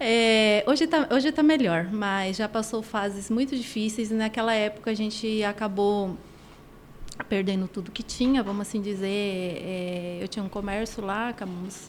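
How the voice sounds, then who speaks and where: A plain, everyday voice from a woman, fairly high-pitched, at a moderate pace with ordinary pitch variation. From Argentina. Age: 50s. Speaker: women's personal development coach. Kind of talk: podcast interview, personal testimony.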